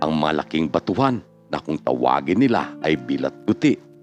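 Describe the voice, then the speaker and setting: Against music in the background, a man talks at a moderate pace while his pitch swings very widely. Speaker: video narrator and storyteller reading viewer-submitted life stories. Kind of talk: news-style storytelling voice-over.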